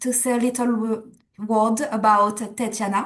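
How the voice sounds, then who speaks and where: A woman speaks at a fairly slow pace and fairly high pitch in a normal speaking voice. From France and Canada. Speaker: community host, communications professional. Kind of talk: webinar introduction.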